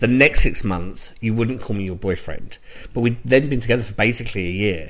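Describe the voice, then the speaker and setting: A man with a London accent, fairly low pitch, ordinary pitch variation and a fairly quick pace. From London, England. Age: 40s. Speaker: podcast co-host. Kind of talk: casual chat.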